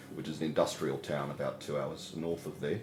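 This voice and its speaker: A man with a very deep, low pitch speaks at a very fast pace. Music plays in the background, and room echo is audible. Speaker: pastor. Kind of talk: interview. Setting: interview at a community centre.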